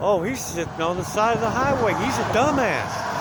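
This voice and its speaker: A man speaks loudly in a high pitch with ordinary pitch variation, with audible room echo and noticeable background noise. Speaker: hitchhiking vlogger. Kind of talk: casual vlog monologue. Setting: outdoors by the highway.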